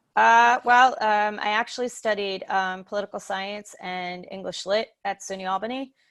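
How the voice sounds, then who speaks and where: A woman's medium-pitched voice at a moderate pace, with ordinary pitch variation, hardly any pauses, and a quiet background. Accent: Long Island. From Long Island, New York. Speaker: social worker in home care. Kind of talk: interview. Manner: animated.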